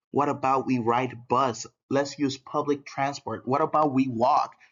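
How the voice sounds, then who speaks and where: This man's voice sits at a medium pitch. He speaks at a fairly slow pace. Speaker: school teacher. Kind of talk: lecture.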